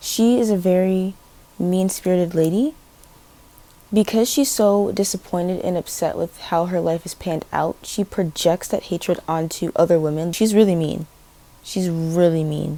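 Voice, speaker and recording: A plain, everyday voice speaks at a moderate pace with ordinary pitch variation. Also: woman, fairly low pitch for a woman. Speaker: book vlogger. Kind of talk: casual vlog talk.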